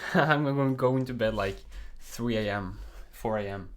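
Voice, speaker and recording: At a fairly slow pace, a man with a Norwegian accent speaks in a medium pitch. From Norway. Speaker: programming streamer. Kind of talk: live coding stream. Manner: casual, with many fillers.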